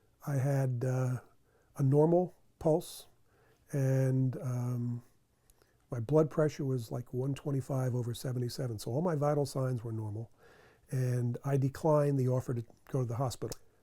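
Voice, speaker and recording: Long, frequent pauses break up a somewhat breathy, dark and mellow voice with fairly even intonation. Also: man, medium pitch for a man, moderate pace. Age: 60s. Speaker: cardiac arrest survivor. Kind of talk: testimony.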